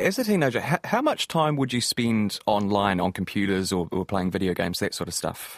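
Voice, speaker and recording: Speaking at a fairly quick pace with hardly any pauses, a man uses a fairly low pitch with ordinary pitch variation. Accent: New Zealand. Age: 20s. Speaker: podcast host. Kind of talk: interview; scripted outro.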